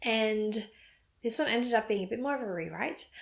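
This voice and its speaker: A woman talks at a fairly quick pace with an Australian accent. Her pitch varies in an ordinary way, and there is noticeable background noise. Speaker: knitting podcaster. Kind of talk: casual vlog talk.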